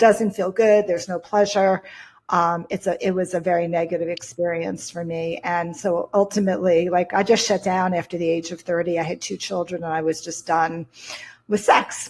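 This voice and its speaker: A plain, everyday voice speaking at a moderate pace with fairly even intonation. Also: woman, fairly low pitch for a woman. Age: 60s. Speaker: intimacy and sex coach. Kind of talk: interview.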